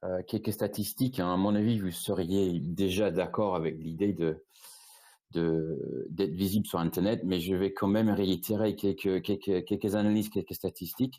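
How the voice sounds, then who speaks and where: In a British accent, a man with a fairly low pitch and a dark, mellow tone speaks at a moderate pace, his loudness very even and his intonation fairly even. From Britain. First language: English (speaking French). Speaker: e-commerce agency founder. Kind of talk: webinar presentation. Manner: halting, many repetitions and fillers.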